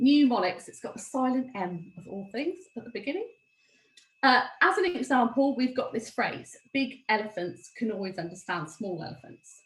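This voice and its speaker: A woman speaks in a high pitch with very wide pitch swings. Her loudness swings a lot. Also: moderate pace. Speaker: former teacher, dyslexia presenter. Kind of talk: webinar presentation.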